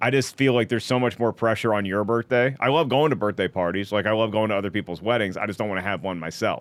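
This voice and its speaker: Pitched fairly low, a man races along at a very fast pace with hardly any pauses and ordinary pitch variation. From US South, North Carolina and Virginia. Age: 40s. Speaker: comedian. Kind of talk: casual chat.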